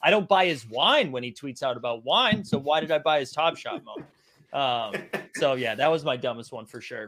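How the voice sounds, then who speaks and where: A man with a normal speaking voice, fairly high in pitch, at a moderate pace with big swings in loudness. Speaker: digital collectibles trader. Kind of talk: casual chat.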